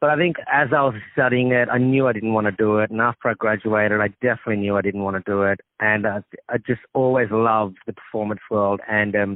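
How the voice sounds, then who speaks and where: A fairly low-pitched man with an Australian accent, very fast and with hardly any pauses, his intonation fairly even. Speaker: actor and comedian. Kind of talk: phone interview. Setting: phone call.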